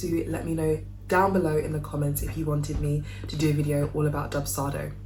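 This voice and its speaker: Very fast speech in a London accent, with audible room echo and music in the background. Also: woman. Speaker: wedding cake maker and business vlogger. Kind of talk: casual tutorial vlog. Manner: chatty, informal.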